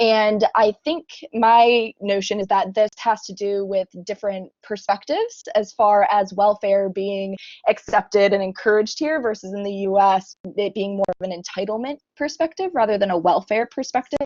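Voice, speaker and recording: In a plain, everyday voice, a woman with an American accent talks at a moderate pace, her medium pitch showing ordinary variation. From United States. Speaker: conference audience member, student. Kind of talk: audience question at online conference.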